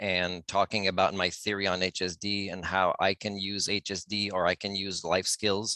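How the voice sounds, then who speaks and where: A man's fairly low voice with a bright, sharp tone and a non-native accent, monotone and flat in intonation, at a moderate pace, in a dry, close sound with no echo. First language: not English. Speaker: self-styled life skills teacher, channel owner. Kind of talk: group video call discussion. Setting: video call. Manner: halting, with restarts.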